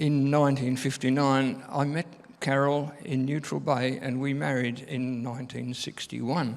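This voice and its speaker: A man talks at a fairly slow pace and medium pitch. Audible room echo surrounds his fairly even intonation. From England. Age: 80s+. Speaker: church member. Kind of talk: testimony. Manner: halting.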